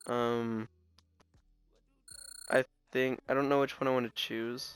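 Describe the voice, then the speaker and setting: A man at a medium pitch and fairly slow pace, with music in the background. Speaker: video game commentator. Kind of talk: casual gameplay commentary.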